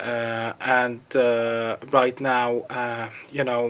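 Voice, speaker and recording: He speaks with an Arabic accent. This man's voice is medium in pitch. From Gaza, Palestine. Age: 30s. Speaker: journalist. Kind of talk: testimony. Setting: video call. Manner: halting.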